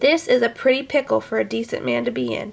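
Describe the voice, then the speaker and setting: A woman puts on a raspy character voice and talks at a fairly quick pace. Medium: read story.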